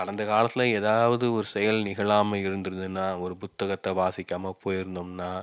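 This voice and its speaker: The delivery is monotone and flat, in a very clean recording with a silent background. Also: man, fairly low pitch for a man. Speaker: YouTuber. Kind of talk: reflective monologue. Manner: unscripted, off the cuff.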